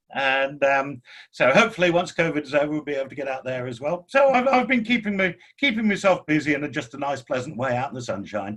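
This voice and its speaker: A man with an English accent speaks at a very fast pace. His fairly high voice swings very widely in pitch. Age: 60s. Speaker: engineering business executive. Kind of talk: podcast interview. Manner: halting, many fillers.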